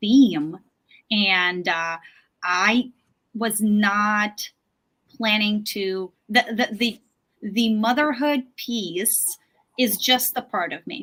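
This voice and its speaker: Speaking very slowly with long, frequent pauses, a woman uses a fairly high voice, ordinary pitch variation and a bright, sharp tone. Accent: non-native. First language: not English. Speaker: author and yoga teacher. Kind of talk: interview. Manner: halting, many fillers.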